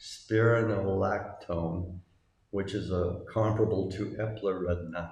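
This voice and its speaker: With an American accent, a man speaks in a very deep, low pitch, somewhat breathy and monotone, with audible room echo around him. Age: 60s. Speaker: retiree abroad. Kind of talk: casual monologue.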